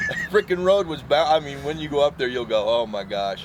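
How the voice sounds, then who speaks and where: A man talks fairly quickly. Background noise is noticeable throughout. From Washington state. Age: 60s. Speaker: hunting guide. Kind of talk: interview testimony. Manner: casual, conversational.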